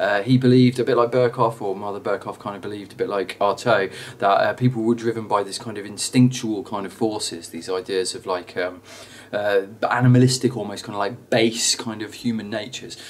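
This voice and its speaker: There is noticeable background noise as a man talks at a fairly quick pace in a medium pitch. His intonation is fairly even, but his loudness swings widely. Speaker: drama teacher. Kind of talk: tutorial. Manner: fast; halting, many fillers.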